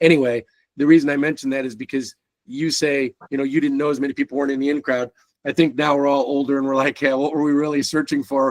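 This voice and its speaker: Very fast speech in an American accent, monotone and flat, with a dry, close sound and no echo. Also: man, fairly high pitch for a man. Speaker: podcast host. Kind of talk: casual interview.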